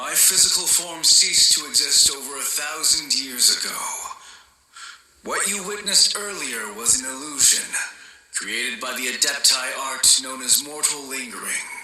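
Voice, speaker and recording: In a cartoonish character voice, a man speaks at a fairly high pitch. His moderate pace carries a slight echo. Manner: formal, measured, archaic phrasing; melancholy, sighing.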